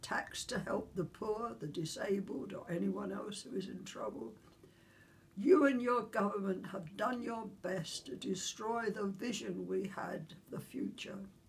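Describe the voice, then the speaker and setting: A woman speaks with big swings in loudness. Noticeable background noise runs underneath. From London, England. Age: 80s+. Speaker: Second World War veteran. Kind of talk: political open letter read to camera.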